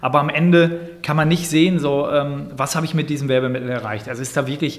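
In a recording with audible room echo and noticeable background noise, a man with a fairly high pitch speaks at a fairly quick pace with ordinary pitch variation. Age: 40s. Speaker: digital marketing agency owner. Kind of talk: interview.

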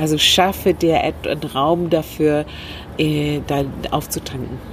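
A woman's very deep, low pitch with fairly even intonation and long, frequent pauses, over noticeable background noise. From Northern Ireland. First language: English (speaking German). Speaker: communication trainer and former manager. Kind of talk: interview. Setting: rooftop terrace outdoors.

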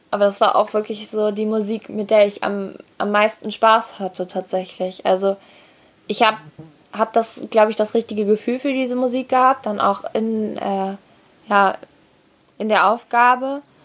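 A woman's fairly high voice at a moderate pace, with fairly even intonation and long, frequent pauses. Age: young (19-20). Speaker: dressage rider. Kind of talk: interview.

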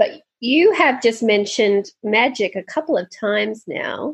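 Over a quiet background, a woman speaks very slowly at a fairly high pitch. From Australia. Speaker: travel podcast host. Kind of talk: casual interview.

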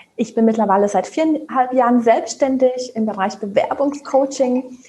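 A woman with a high pitch talks at a moderate speed, using ordinary pitch variation. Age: 30s. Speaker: job application coach. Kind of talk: casual chat.

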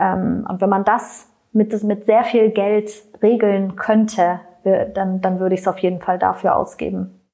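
Very slow and monotone with flat intonation, the voice has a dark, mellow tone and very even loudness. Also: woman, medium pitch for a woman. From Berlin, Germany. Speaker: non-profit executive. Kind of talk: interview.

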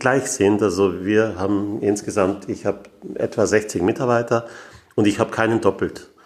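Noticeable background noise behind a man's voice pitched fairly low. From Austria, Graz. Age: 60s. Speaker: engineering firm owner. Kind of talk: interview. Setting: meeting room.

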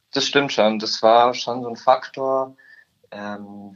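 Pitched in a medium range, this man talks at a fairly slow pace. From Upper Bavaria, Germany (Murnau area). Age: young. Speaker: trainee insurance clerk. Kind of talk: interview. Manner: hesitant with many fillers.

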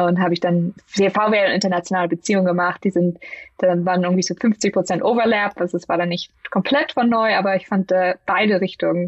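A woman's medium-pitched voice at a fairly quick pace with fairly even intonation. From northern Germany, Lüneburg. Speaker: business executive. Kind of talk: interview. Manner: halting, many fillers.

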